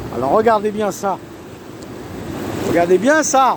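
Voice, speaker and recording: A man's animated tone at a high pitch, over noticeable background noise. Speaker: self-proclaimed preacher vlogger. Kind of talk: casual monologue, religious warning vlog. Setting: outdoors on a beach.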